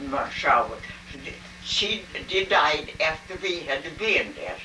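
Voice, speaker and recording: A woman's very slow speech with music in the background and audible room echo. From Sweden. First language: Swedish. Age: 80s+. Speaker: interviewee. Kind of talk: family interview. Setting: home video. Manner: halting. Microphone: poor quality recording.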